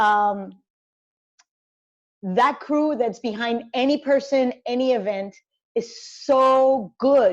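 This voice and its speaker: Speaking very slowly with long, frequent pauses, a woman in a Spanish accent uses a high pitch and ordinary pitch variation. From Colombia, Cali. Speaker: sports journalist and commentator. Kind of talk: interview conversation.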